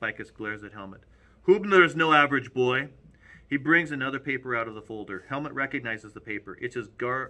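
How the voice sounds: Someone reads in a natural reading voice. The intonation stays lively.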